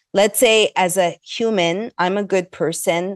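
A woman speaks at a fairly slow pace with ordinary pitch variation, in an unremarkable speaking voice. The background is quiet. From Montreal, Canada. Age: 50s. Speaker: investigative journalist and filmmaker. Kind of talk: interview.

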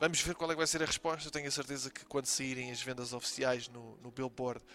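A man's medium-pitched voice, very fast in pace and bright and sharp in tone. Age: 20s. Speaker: podcast host, student. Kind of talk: casual solo commentary. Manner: hesitant, many fillers.

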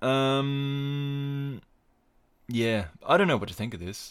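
This man has an Australian accent and a medium pitch. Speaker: podcast host and wrestling commentator. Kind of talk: casual solo podcast. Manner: rambling, hesitant.

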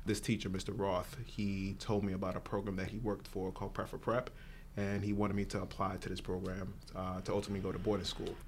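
A man with a New York accent speaks very fast at a fairly low pitch. His intonation is flat and monotone, and the room echo is audible. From Brooklyn, New York. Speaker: nonprofit executive director. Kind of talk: casual interview.

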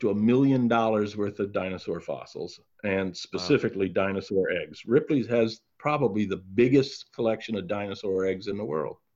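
In a quiet background, a man with a plain, everyday voice talks at a moderate pace, his fairly low pitch showing ordinary pitch variation. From Canada, Toronto. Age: 60s. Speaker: retired museum executive and author. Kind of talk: interview.

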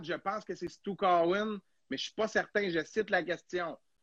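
With a Quebec accent, a man speaks in a high voice at a moderate pace, his intonation fairly even. The sound is dry and close with no echo, and the background is quiet. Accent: Québécois French. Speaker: hockey podcast host. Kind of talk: casual chat. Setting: live stream.

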